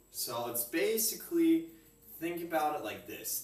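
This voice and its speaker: Music plays in the background and the room echo is audible as a man speaks very slowly with ordinary pitch variation. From Europe. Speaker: home cook streamer. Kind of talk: live cooking stream chat. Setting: kitchen. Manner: loud, projecting.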